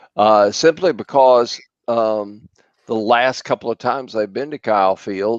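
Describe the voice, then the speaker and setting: A man speaks very slowly at medium pitch, in a dry, close sound with no echo and a quiet background. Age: 70s. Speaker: college football writer. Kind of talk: sports talk radio discussion.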